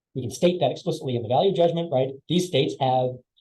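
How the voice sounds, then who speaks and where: This man's voice has a dark, mellow tone and is somewhat breathy. He talks at a very fast pace. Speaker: philosophy academic. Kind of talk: academic talk. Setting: webinar.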